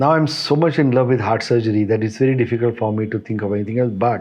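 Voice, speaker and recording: A man speaks with a Kannada accent. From northern Karnataka, India (Aland, near Solapur border). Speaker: cardiac surgeon. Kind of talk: interview. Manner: halting.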